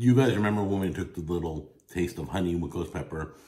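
Very fast, somewhat breathy speech with ordinary pitch variation. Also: man. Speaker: food reviewer. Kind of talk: casual food review vlog. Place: home room. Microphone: phone near.

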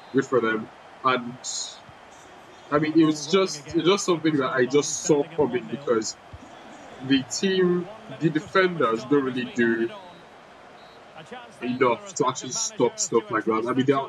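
Noticeable background noise surrounds a man with fairly high pitch and lively intonation. He keeps a moderate pace, with long, frequent pauses. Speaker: gaming youtuber. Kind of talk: gameplay commentary. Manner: casual, rambling delivery.

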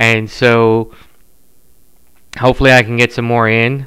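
The background is quiet as a man speaks in a bright, sharp tone. His intonation is monotone and flat. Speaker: podcast host. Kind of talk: casual podcast chat. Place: home room. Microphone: studio mic.

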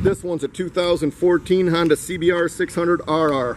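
A man speaks with a high pitch. Light background noise sits underneath. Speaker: dealership salesperson. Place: street. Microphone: phone near.

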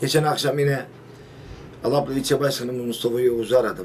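A man's fairly high voice at a very fast pace, over light background noise. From Turkey. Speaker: village headman. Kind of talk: interview. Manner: halting, many fillers. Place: office. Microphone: camera far.

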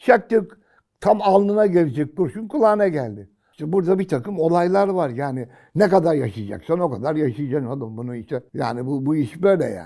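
The voice has a dark, mellow tone and moves at a fairly quick pace, with very wide pitch swings and big swings in loudness. The recording is very clean, with a silent background. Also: man. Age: 80s+. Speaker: retiree commentator. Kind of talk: casual chat. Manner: animated.

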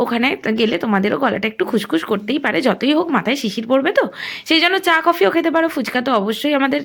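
Here a woman talks at a high pitch, her voice making very wide swings up and down. Noticeable background noise sits behind her. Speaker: vlogger. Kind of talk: vlog walkthrough narration. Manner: casual, chatty.

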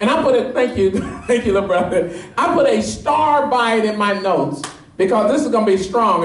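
A man with a high pitch and an animated tone speaks amid audible room echo. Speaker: pastor. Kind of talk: sermon. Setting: church with live congregation, also streamed on Periscope. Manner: animated, call-and-response, pressing the congregation for amens; fervent, urgent preaching. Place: church.

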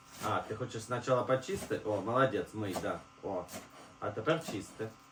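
The voice moves at a fairly quick pace with ordinary pitch variation and a fairly bright tone. Audible room echo surrounds it. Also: man, fairly low pitch for a man.

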